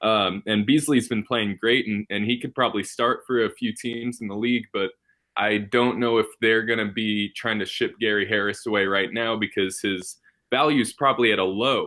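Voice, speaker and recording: Against a quiet background, a man with an American accent and an unremarkable speaking voice talks at a moderate pace with medium pitch and fairly even intonation. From New York. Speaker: basketball fan. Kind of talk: casual chat.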